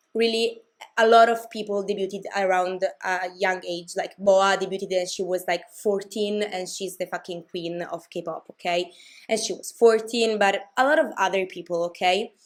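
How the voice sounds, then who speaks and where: This woman has a medium-pitched voice with fairly even intonation. She speaks at a moderate pace. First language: not English. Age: 20s. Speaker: K-pop commentary YouTuber. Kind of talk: casual vlog commentary. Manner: hesitant, many fillers and restarts.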